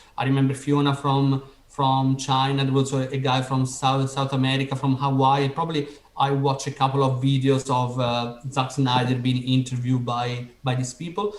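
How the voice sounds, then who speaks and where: A man speaks with an Italian accent at a moderate pace, his intonation monotone and flat. There is noticeable background noise. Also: medium pitch for a man. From Italy. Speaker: podcast host. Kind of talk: interview.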